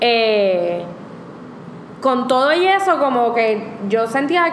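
A woman with a fairly high pitch speaks at a very slow pace. Noticeable background noise and audible room echo fill the recording. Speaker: vegan food blogger. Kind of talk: casual interview chat. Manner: code-switching Spanish and English.

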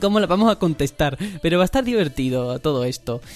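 There is noticeable background noise behind this man. He speaks at a moderate pace in a high voice. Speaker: podcast host. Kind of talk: casual chat.

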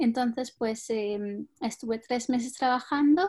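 A woman speaks in a Spanish accent at a fairly slow pace. Her fairly high voice has a dark, mellow tone and ordinary pitch variation. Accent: Spanish (Spain). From Spain. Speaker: translator and interpreter. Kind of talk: interview.

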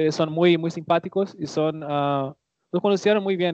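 With a Portuguese accent, a man speaks at a fairly high pitch using fairly even intonation. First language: Portuguese (speaking Spanish). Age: 20s. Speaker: language learner and content creator. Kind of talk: casual chat. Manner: halting.

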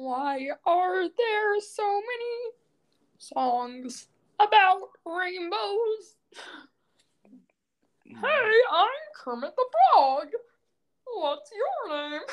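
In a put-on character voice with extremely high pitch, the speaker goes at a very slow pace with long, frequent pauses. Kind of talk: comic impression.

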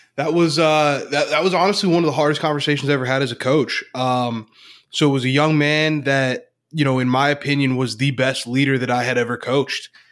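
A man's plain, everyday voice, fairly high for a man, with fairly even intonation and a fairly quick pace, on a very clean recording with a silent background. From Northeast Pennsylvania. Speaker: leadership coach. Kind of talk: interview.

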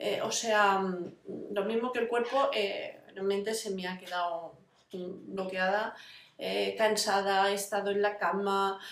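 Fairly slow speech from a woman at medium pitch, with ordinary pitch variation and audible room echo. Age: 40s. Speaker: vlogger living with fibromyalgia. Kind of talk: casual personal vlog. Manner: halting, many fillers.

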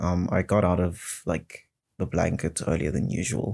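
On a very clean recording with a silent background, a man speaks at a very deep, low pitch. His dark, mellow tone carries vocal fry, with a moderate pace and ordinary pitch variation. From South Africa. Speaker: solo podcast host. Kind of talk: casual solo monologue. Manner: halting, many fillers and restarts.

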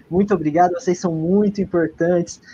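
With a dark, mellow tone, a man talks at a fairly quick pace and a high pitch. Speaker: history teacher and student, podcast co-host. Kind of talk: casual chat. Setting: live stream.

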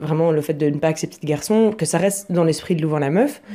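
A woman's dark, mellow voice at a fairly low pitch and fairly quick pace. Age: 20s. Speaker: photographer and online group founder. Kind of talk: casual interview.

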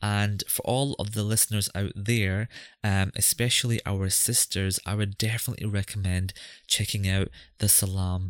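This man speaks in a Scottish accent with a fairly low pitch and a monotone, flat intonation at a fairly slow pace. The recording is very clean, with a silent background. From Scotland. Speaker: podcast host. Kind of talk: podcast intro and interview.

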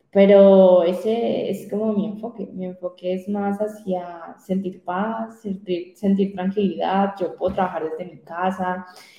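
Over noticeable background noise, a woman speaks fairly slowly with hardly any pauses, at a medium pitch with fairly even intonation and big swings in loudness. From Colombia, Popayán. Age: young. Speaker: digital strategist. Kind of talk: interview.

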